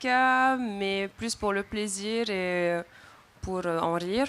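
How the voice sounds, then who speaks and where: Over a silent background on a very clean recording, a woman of medium pitch speaks at a very slow pace. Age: 20s. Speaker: student and content creator. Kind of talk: panel discussion.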